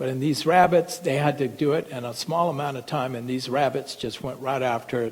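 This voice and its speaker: At a moderate pace and medium pitch, a man talks with fairly even intonation in an ordinary speaking voice. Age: 60s. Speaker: physician. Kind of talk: lecture.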